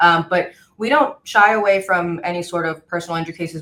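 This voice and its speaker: A woman talks at a fairly quick pace with a Spanish accent. Her fairly low voice has ordinary pitch variation. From El Paso, Texas (Mexican-American border town). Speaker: personal injury attorney. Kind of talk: podcast interview.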